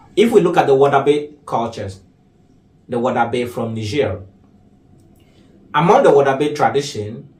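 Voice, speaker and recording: Somewhat breathy, a man speaks at a fairly high pitch and a moderate pace. Room echo is audible. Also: long, frequent pauses. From Ghana. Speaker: artist and activist. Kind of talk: interview.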